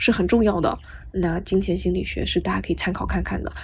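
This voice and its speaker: Soft-spoken, a woman talks at a fairly quick pace. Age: 20s. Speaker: podcast host, freelance writer. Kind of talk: solo podcast monologue, casual. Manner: soft-spoken, quiet; clear careful enunciation.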